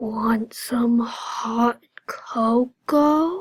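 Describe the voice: A woman's put-on character voice, high-pitched, with ordinary pitch variation.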